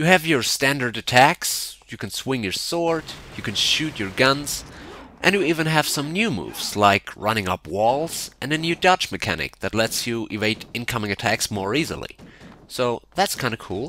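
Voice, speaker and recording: A man with a non-native accent speaks at a moderate pace in a medium-pitched, bright, sharp voice. His pitch swings very widely. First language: not English. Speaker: video game reviewer. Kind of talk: commentary over gameplay. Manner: casual.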